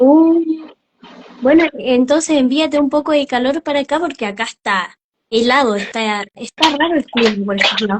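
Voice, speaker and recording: This woman's voice is high in pitch, with ordinary pitch variation. She keeps a moderate pace. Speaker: interview host. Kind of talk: live interview host talk.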